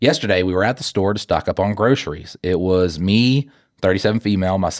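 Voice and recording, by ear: A natural voice reads aloud. The reading sounds unforced.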